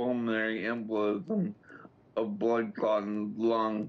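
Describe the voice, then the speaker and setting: In an American accent, a man talks at a medium pitch. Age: 30s. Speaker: paralyzed war veteran. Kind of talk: interview. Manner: halting.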